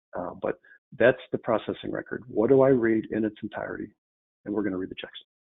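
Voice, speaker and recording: A man speaks at a very fast pace with big swings in loudness. The background is quiet. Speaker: software trainer presenting a webinar. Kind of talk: webinar tutorial. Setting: online webinar. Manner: casual, conversational. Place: home room. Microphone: webcam.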